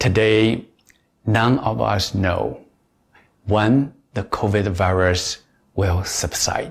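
A man with a fairly low pitch and vocal fry speaks in a calm tone with ordinary pitch variation. He goes at a very slow pace, with long, frequent pauses. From China. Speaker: meditation teacher. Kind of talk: guided meditation. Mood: calm, reflective. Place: home room.

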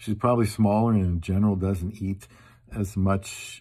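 A man speaks at a fairly low pitch with a dark, mellow tone and a somewhat breathy edge. His intonation stays fairly even against a quiet background. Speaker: vlogger. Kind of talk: casual vlog chat. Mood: humorous, self-deprecating. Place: home room. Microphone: phone near.

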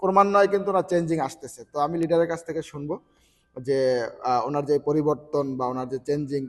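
The speaker is a man. His pitch moves up and down in an ordinary way. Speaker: network marketing member, interviewer. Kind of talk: interview introduction.

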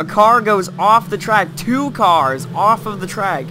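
Music plays in the background as a man talks. His pitch variation is ordinary. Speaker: sim racing commentator. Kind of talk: live race commentary.

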